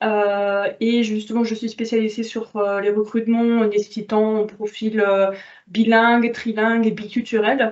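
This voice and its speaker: A woman speaks at a fairly slow pace with a slight German accent. Her pitch is fairly high and her intonation monotone and flat. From Germany. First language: German (speaking French). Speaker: recruitment consultant. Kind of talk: self-introduction in webinar. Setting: webinar with webcam.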